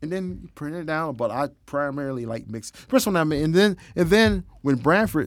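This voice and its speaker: A man talks with very wide pitch swings. The recording is very clean, with a silent background. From East Tennessee (Knoxville). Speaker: broadcast audio engineer. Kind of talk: casual interview chat.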